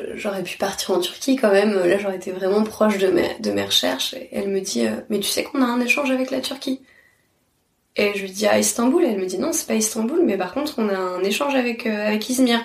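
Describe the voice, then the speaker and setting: This woman's voice is pitched fairly high. She talks at a fairly quick pace with ordinary pitch variation. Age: 30s. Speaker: literature teacher. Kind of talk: interview. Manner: halting.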